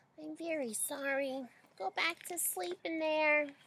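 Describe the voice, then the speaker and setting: A woman does a put-on character voice, high in pitch and soft-spoken. She speaks at a fairly slow pace. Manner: soft, apologetic.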